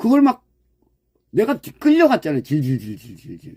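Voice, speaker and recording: A man's dark, mellow tone with very wide pitch swings, dry and close with no echo. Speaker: dog farm owner and YouTuber. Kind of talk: casual livestream-style talk to subscribers. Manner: blunt, strong intonation; direct speaking style.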